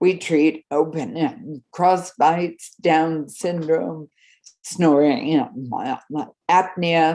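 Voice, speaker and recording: A woman speaks at a very slow pace in a fairly low voice. Her tone is dark and mellow, with ordinary pitch variation. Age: 70s. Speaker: dentist and orofacial myology specialist. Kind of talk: conference presentation.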